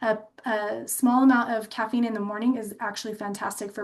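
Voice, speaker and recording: At a fairly quick pace, a woman talks in a fairly high pitch with ordinary pitch variation. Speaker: dental health speaker. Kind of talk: webinar presentation. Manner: fast; animated.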